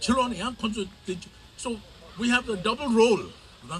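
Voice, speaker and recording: A man speaks with a Tibetan accent. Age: 70s. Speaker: community elder and activist. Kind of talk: rally speech.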